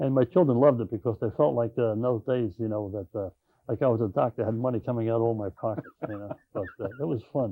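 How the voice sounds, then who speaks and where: On a very clean recording with a silent background and a dry, close sound with no echo, a man talks very fast at a medium pitch with ordinary variation and a dark, mellow tone. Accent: Long Island. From Long Island, New York (Patchogue). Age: 70s. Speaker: retired school principal. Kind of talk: oral history interview. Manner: halting, many fillers.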